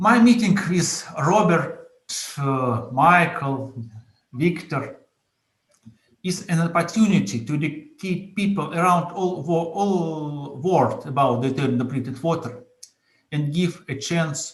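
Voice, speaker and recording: A man talks with a Russian accent at a very slow pace. He leaves long, frequent pauses, and audible room echo surrounds his voice. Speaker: entrepreneur. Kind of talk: conference presentation. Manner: halting.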